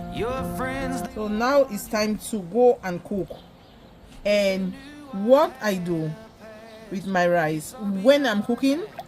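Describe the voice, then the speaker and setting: Music plays in the background while a woman speaks at a very slow pace with long, frequent pauses. Her pitch is medium, and her intonation is lively. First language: Cameroonian native language. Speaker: home cook. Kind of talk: cooking tutorial. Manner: casual, chatty.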